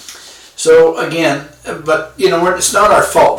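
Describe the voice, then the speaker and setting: A man speaks over noticeable background noise. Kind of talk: casual self-help talk. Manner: hesitant, with fillers.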